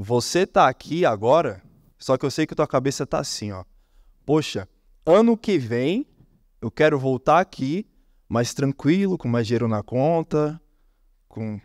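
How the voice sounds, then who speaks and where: A man with a fairly high voice speaks at a moderate pace, his pitch swinging very widely, with long, frequent pauses, in a dry, close recording with no echo that is very clean against a silent background. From Brazil, Brasília. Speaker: copywriter, conference speaker. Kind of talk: conference talk. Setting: stage with audience. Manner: animated.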